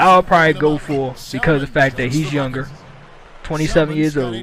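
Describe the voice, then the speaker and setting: A man speaks with a fairly high pitch. Noticeable background noise is present. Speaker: gaming youtuber. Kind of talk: gameplay commentary. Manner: halting.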